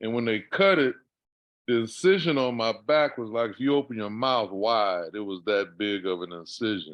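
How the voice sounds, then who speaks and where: A man with an ordinary speaking voice talks at a moderate pace. His medium-pitched delivery has lively intonation. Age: 60s. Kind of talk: casual chat.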